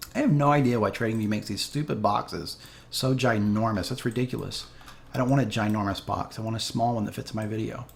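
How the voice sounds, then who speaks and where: Speaking very fast, a man keeps his intonation fairly even. He sits at a medium pitch. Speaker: crypto trading youtuber. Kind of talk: chart analysis tutorial. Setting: home spare bedroom. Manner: casual, many fillers.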